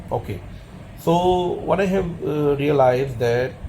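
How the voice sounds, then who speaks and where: With a non-native accent, a man speaks at a fairly high pitch. There is noticeable background noise. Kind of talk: personal opinion monologue. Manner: halting.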